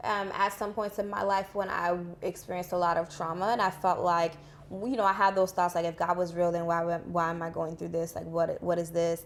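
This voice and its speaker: With an American accent, a woman speaks in an unremarkable speaking voice, fairly low in pitch with fairly even intonation. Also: fairly quick pace. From Boston, Haitian family. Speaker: guest on a podcast. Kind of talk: casual interview.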